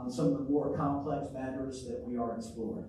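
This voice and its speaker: A man speaks fairly quickly with ordinary pitch variation, audible room echo and noticeable background noise around him. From Arkansas (Pine Bluff). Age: 60s. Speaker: mayoral candidate, city councilor. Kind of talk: candidate forum statement.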